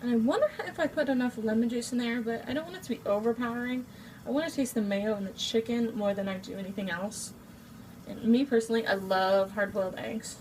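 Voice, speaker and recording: A very fast pace with ordinary pitch variation. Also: woman, fairly high pitch for a woman. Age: 20s. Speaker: amateur home cook vlogger. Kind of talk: casual cooking tutorial. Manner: chatty, informal.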